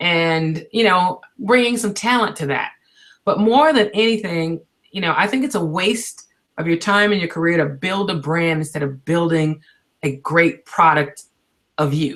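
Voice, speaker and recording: An unremarkable speaking voice from a woman, moderate in pace, with fairly low pitch and lively intonation. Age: 50s. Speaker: radio host. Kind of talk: webinar interview.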